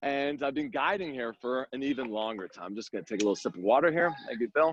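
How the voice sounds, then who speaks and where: Very fast and animated, this man speaks at a medium pitch with lively intonation. The sound is dry and close, with no echo. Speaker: tour guide. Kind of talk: guided walking tour. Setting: outdoors.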